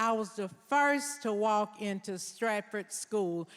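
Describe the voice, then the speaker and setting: A woman with a Southern US accent talks at a fairly high pitch. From US South, Nashville, Tennessee. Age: 70s. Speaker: deputy mayor. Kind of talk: public speech. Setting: stage with audience. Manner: emotional, emphatic.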